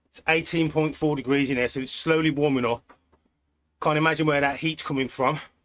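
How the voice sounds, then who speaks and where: This man speaks fairly quickly in a British accent, his fairly high voice flat and monotone. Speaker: cycling streamer. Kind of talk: live stream commentary while riding. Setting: indoors on turbo trainer. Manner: casual, chatty.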